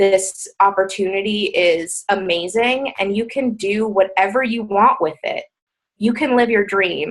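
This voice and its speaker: A woman speaks in an ordinary speaking voice, pitched fairly high. Her pace is moderate and her pitch varies an ordinary amount. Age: 20s. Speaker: fitness business coach. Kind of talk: motivational talk on team call. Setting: conference call.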